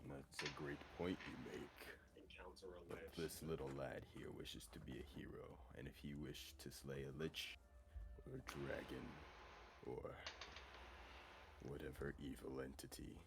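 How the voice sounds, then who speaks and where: Using a put-on character voice, a man speaks at a moderate pace against loud background noise. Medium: actual play. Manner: formal, stately.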